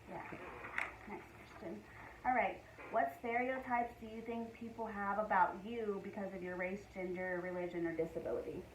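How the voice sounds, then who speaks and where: A woman with an American accent speaks at a medium pitch and moderate pace, with ordinary pitch variation and big swings in loudness. Long, frequent pauses break her speech, and there is audible room echo and noticeable background noise. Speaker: student. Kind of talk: class assignment interview.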